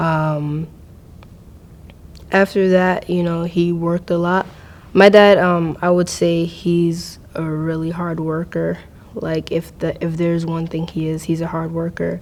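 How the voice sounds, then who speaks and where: In an American accent, the speaker talks at a fairly slow pace with monotone, flat intonation. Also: woman, fairly low pitch for a woman. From US, Maryland. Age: 20s. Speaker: university student. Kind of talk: personal interview testimony. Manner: hesitant, many fillers.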